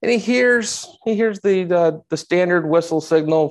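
A man's fairly slow delivery with lively intonation, over a quiet background. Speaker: history teacher giving a talk. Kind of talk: lecture.

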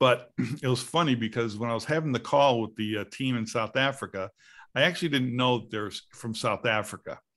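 Against a quiet background, a man speaks at a fairly quick pace with ordinary pitch variation. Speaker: podcast host. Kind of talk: casual chat. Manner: rambling, many filler words. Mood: cheerful, chatty. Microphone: video call.

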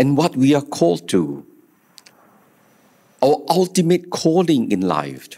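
The man speaks at a very slow pace. All around him is quiet. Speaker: bishop celebrating Mass. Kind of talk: sermon. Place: church. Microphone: podium.

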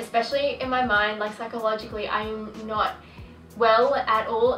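With audible room echo and faint music in the background, a woman is speaking. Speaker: vlogger. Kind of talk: casual vlog chat. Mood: candid, reflective storytelling. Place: home room.

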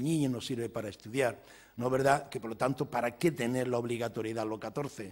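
A man speaks at a medium pitch in an ordinary speaking voice. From Andalusia, Spain (village in Jaén province); Andalusia. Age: 60s. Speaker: economics professor. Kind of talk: lecture. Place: hall. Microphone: podium.

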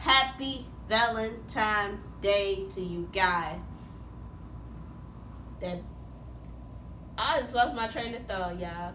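Ordinary pitch variation, light background noise and audible room echo. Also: woman. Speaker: vlogger. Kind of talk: casual vlog chat. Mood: cheerful, playful. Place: home room. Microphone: phone near.

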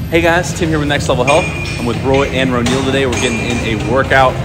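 Loud music plays in the background as a man speaks. He goes at a very fast pace with ordinary pitch variation. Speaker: fitness vlogger. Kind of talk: casual vlog chat. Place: gym. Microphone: phone near.

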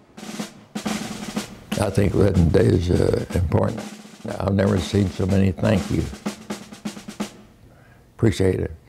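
A man talks at a fairly slow pace. He leaves long, frequent pauses while music plays in the background. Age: 80s+. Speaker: war veteran. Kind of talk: interview answer. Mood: grateful, moved.

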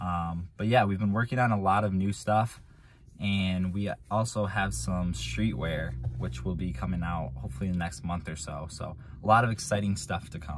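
A man's very deep, low pitch against noticeable background noise. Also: moderate pace, dry sound with no echo. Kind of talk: casual vlog chat. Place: car. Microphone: phone near.

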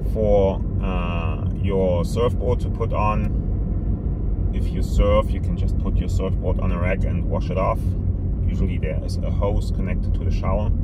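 Dry sound with no echo, under loud background noise. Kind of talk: casual tour commentary. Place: car. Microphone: phone near.

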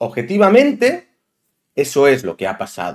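With vocal fry and very wide pitch swings, the voice moves at a moderate pace in an animated tone against a quiet background. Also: man. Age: 30s. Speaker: football YouTuber. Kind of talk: opinion monologue.

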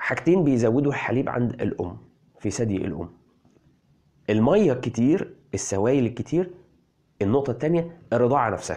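With lively intonation and a dark, mellow tone, a man speaks at a moderate pace, leaving long, frequent pauses against a quiet background. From Egypt. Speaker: parenting health blogger. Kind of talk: health explainer video. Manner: animated.

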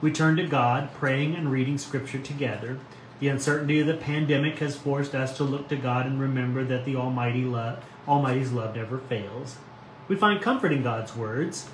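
Light background noise and audible room echo accompany a man with a fairly high pitch and a warm tone. He speaks at a fairly quick pace with fairly even intonation. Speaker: pastor. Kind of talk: devotional reading and reflection. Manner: warm, informal, friendly. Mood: calm, gentle, reflective. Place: home room. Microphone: phone near.

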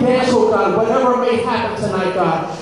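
A man speaks at an extremely high pitch and a fairly quick pace. Strong room echo and noticeable background noise fill the recording. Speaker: minister leading prayer. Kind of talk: prayer. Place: hall.

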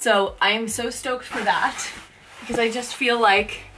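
A woman speaks over clear background music. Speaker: home renovation vlogger. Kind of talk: casual vlog chat. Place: home room. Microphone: camera far.

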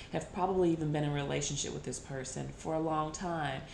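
There is light background noise and audible room echo. A woman speaks in a very deep, low pitch. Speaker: tarot reader. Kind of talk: tarot reading talk to viewers. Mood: calm, earnest. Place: home room. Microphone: phone near.

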